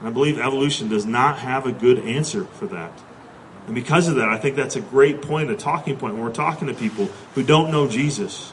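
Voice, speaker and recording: A man's fairly high voice at a fairly quick pace, with lively intonation, audible room echo and noticeable background noise. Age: 30s. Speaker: pastor. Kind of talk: sermon.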